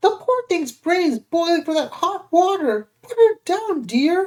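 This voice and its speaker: A put-on character voice, squeaky and extremely high-pitched, moves at a fairly slow pace. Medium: read story. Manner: nervous, stammering.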